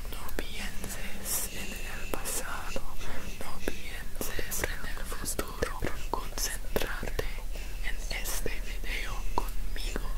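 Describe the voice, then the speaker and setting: Whispering and soft-spoken, a man talks at a very slow pace. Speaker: ASMR creator. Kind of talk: soft calming ASMR talk. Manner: soft close-mic whisper, calming. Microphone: studio mic.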